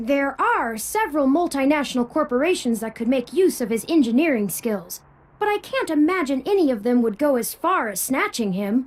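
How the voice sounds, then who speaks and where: A put-on character voice runs at a moderate pace. There are hardly any pauses. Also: female-sounding voice, high pitch for a woman. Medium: video game. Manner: precise, polite, talkative.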